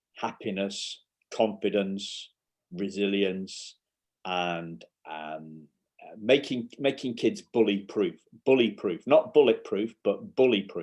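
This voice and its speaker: A man's fairly low voice with a northern English accent, ordinary pitch variation, big swings in loudness and a very slow pace. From northern England, near York. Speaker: parenting coach. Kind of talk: casual interview. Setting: remote call, early morning UK time. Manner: halting, repeats words.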